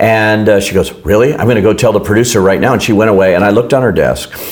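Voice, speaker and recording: A man's fairly low voice at a very fast pace, with fairly even intonation and noticeable background noise. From Los Angeles, US. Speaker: film critic. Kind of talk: casual interview.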